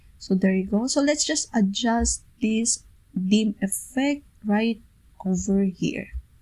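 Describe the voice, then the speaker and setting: A woman's dark, mellow, somewhat breathy voice, fairly high in pitch, at a very slow pace with ordinary pitch variation. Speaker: PowerPoint tutorial creator. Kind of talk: software tutorial narration. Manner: casual, step-by-step.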